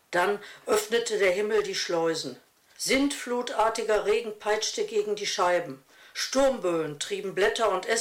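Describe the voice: Someone reads text aloud. The reading is plain.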